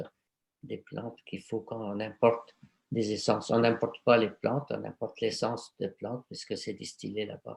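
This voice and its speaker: Flat, monotone delivery from a man at medium pitch, with vocal fry, a fairly slow pace and a dry, close sound with no echo. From Egypt, Cairo. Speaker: aromatherapist. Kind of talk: conference talk and Q&A. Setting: video conference. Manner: hesitant, many fillers and repetitions.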